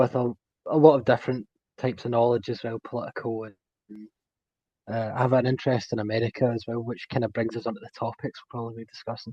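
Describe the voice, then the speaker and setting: A man with a Scottish accent speaks very fast at medium pitch, his tone dark and mellow and his intonation monotone and flat. His loudness swings widely, and the sound is dry and close with no echo. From Scotland. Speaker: technology specialist, podcast guest. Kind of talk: casual chat.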